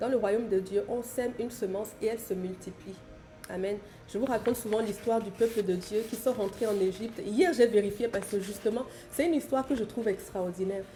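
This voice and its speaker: A woman's fairly high voice at a fairly quick pace, with music in the background. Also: ordinary pitch variation. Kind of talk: bible teaching on live stream. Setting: live stream. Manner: fast.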